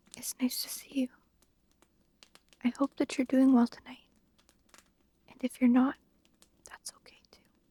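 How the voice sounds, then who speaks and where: Whispered and soft-spoken, the voice moves at a fairly slow pace with long, frequent pauses. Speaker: ASMR storyteller. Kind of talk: ASMR talk to listener, breathing guidance. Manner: soft-spoken, whispered.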